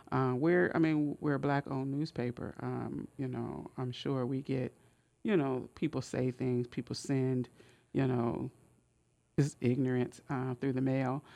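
A woman with a very deep, low pitch and a dark, mellow tone speaks at a fairly slow pace with fairly even intonation. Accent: American. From US West Coast, Oakland and Richmond, California. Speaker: journalist and poet. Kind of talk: radio interview. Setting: radio studio. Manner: halting, many fillers and repeats.

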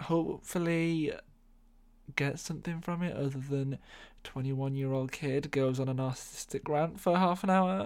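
A man with an English accent speaks at a moderate pace in a fairly high pitch. His pitch varies in an ordinary way. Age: 20s. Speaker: podcast host. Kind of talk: casual monologue. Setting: home bedroom.

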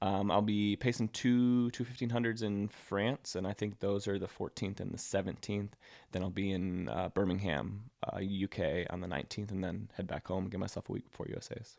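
A man with a normal speaking voice, fairly low in pitch, with fairly even intonation, at a moderate pace with hardly any pauses. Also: very clean recording, silent background. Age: 30s. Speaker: professional middle-distance runner. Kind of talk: interview.

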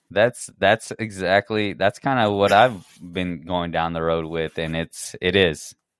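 A man speaks at a fairly slow pace with hardly any pauses. His pitch is very deep and low. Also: ordinary pitch variation. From Indian heritage. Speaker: podcast host. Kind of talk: casual chat.

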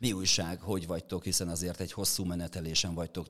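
The voice moves at a fairly quick pace with monotone, flat intonation. It comes through on a very clean recording with a silent background. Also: man. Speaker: sports podcast host. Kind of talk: interview. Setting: studio.

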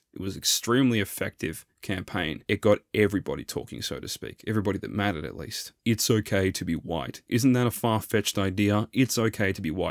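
Someone with an Australian accent talks at a fairly quick pace, in a dry, close sound with no echo on a very clean recording with a silent background. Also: man. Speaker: solo podcast host. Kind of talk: monologue commentary.

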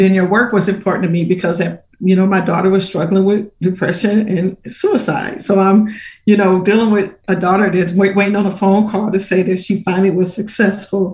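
Her loudness stays very even as a woman speaks at medium pitch and a moderate pace. The voice is somewhat breathy and the intonation monotone and flat. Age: 60s. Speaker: minister. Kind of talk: testimony.

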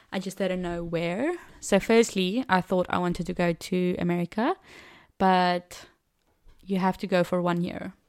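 On a very clean recording with a silent background, a woman speaks at a medium pitch. Her pace is moderate and her intonation fairly even. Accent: South African. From South Africa, Cape Town. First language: Afrikaans. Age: 20s. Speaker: au pair and trained teacher. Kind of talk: casual interview. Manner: laughs often.

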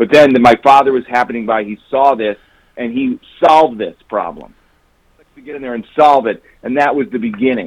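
A man with an American accent and an ordinary speaking voice talks at a moderate pace with ordinary pitch variation. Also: medium pitch for a man. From Chicago, US Midwest. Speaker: author. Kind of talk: interview. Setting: phone call.

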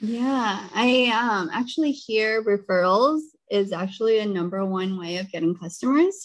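Talking in an American accent at a moderate pace, a woman has a fairly high pitch and lively intonation. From US Pacific Northwest, Seattle. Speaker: podcast host. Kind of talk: interview.

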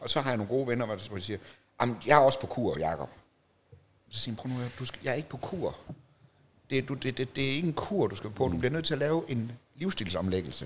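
Talking at a very fast pace yet with long, frequent pauses, a man speaks at medium pitch with lively intonation and vocal fry. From Denmark, Jutland (Horsens). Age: 40s. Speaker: documentary photographer. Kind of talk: casual interview.

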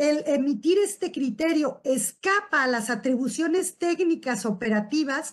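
Against a quiet background, a woman with a Mexican accent speaks at a fairly slow pace in a high pitch that swings very widely. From Uruapan, Michoacán, Mexico. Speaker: tax lawyer and business owner. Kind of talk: expert presentation on tax law.

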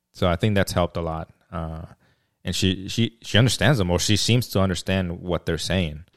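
A man with an American accent and a very deep, low pitch talks at a moderate pace, the sound dry and close with no echo in a very clean recording with a silent background. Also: ordinary pitch variation. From Mexico. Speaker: podcast host. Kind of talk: casual chat.

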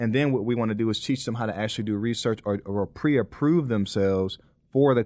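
This man has an ordinary speaking voice, medium in pitch with ordinary pitch variation. He talks at a fairly quick pace against a quiet background. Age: 40s. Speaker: college admissions coach. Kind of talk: interview.

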